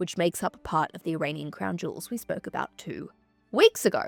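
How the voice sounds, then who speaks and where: In an Australian accent, a woman speaks with a dry, close sound and no echo. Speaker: history podcast host. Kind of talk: casual history podcast narration. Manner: animated.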